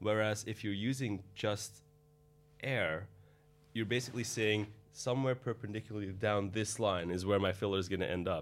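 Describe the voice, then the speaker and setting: With music in the background, a man talks at a moderate pace and a fairly low pitch with fairly even intonation. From Belgium, Antwerp. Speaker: cosmetic doctor. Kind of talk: interview. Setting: studio.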